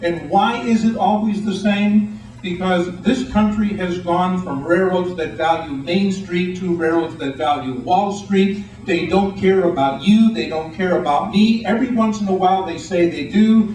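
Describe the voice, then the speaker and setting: A man talks at a high pitch with hardly any pauses. Audible room echo and noticeable background noise are present. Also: ordinary pitch variation, moderate pace. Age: 60s. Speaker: writer and rail advocate. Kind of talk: speech to an audience. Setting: meeting room with audience. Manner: animated.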